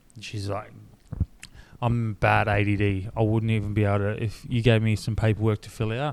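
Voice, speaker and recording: A man with a strong Australian accent speaks at a moderate pace. His pitch is fairly low and his intonation monotone and flat. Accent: broad Australian. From North Queensland, Australia. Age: 30s. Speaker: clothing brand founder, reality TV contestant. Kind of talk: casual podcast chat. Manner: casual, slangy with frequent fillers.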